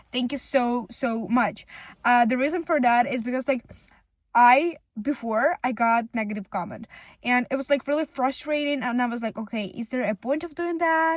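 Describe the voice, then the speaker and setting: Speaking with a non-native accent, a woman talks at a moderate pace in a high pitch, with a dry, close sound with no echo. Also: ordinary pitch variation. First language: not English. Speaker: content creator. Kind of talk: casual vlog monologue. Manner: halting, many fillers.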